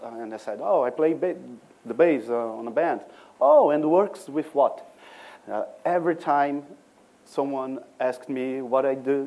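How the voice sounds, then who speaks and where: A man with a Brazilian accent speaks at a medium pitch. His pace is moderate and his pitch variation ordinary. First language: Portuguese. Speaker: musician and cultural producer. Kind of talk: conference talk. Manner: halting, many fillers and restarts.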